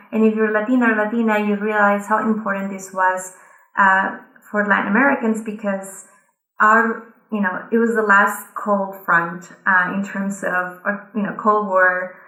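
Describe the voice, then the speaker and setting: Audible room echo surrounds a woman with a Colombian accent who speaks at a medium pitch and a moderate pace. Her intonation is monotone and flat. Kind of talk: conference speech.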